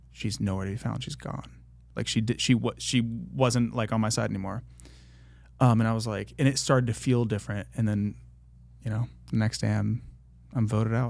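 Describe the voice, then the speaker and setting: A man with an American accent talks at a fairly quick pace in a fairly low pitch, with ordinary pitch variation and long, frequent pauses. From US Midwest (Columbus, Ohio). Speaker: singer. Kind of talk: casual chat. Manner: animated.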